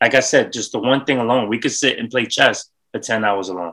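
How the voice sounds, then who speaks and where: A bright, sharp tone with ordinary pitch variation, in a New York accent. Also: man. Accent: New York City. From Bronx, New York. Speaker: entrepreneur. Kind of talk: casual chat.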